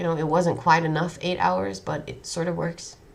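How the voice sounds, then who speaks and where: A woman with a Dutch accent speaks in a fairly low voice amid noticeable background noise and audible room echo. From Netherlands. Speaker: vlogger. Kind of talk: personal monologue. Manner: halting.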